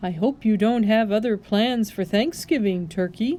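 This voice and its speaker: Putting on a character voice, a woman speaks at a moderate pace with lively intonation and a fairly high pitch. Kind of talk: read-aloud storytelling. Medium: read story. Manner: hearty, booming.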